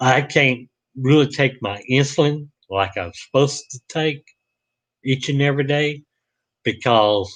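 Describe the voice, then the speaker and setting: A man speaks fairly slowly in a Southern US accent, at medium pitch with ordinary pitch variation. The background is quiet. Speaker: vlogger. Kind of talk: live stream monologue. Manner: halting.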